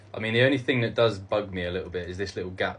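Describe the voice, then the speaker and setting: With a British accent, a man talks at a very fast pace in a fairly low pitch. His voice is somewhat breathy, with fairly even intonation. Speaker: cosplayer content creator. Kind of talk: casual Q&A video. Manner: halting, many fillers.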